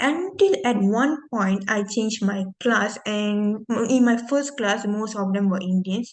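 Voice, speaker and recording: A somewhat breathy woman's voice, fairly high in pitch, with ordinary pitch variation, a fairly slow pace and hardly any pauses. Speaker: university student. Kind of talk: class presentation. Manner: halting.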